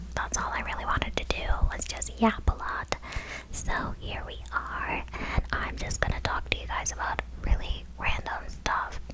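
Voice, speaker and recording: Moderately paced whispering from a woman amid noticeable background noise. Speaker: office worker. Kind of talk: ASMR rambling talk to camera. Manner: whispered, close cupped.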